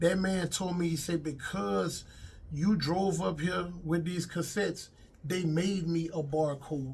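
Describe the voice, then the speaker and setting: With audible room echo, a man in a Louisiana accent speaks at a fairly slow pace with a high pitch and ordinary pitch variation. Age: 50s. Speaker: comedian and actor, former rapper. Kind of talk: interview. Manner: casual.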